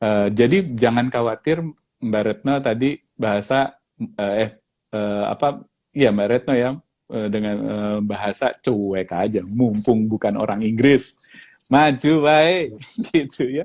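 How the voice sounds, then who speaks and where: A man at medium pitch, very slow in pace, with ordinary pitch variation. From Indonesia. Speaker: professional facilitator. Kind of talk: casual interview chat. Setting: Instagram live video. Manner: code-switching Indonesian and English.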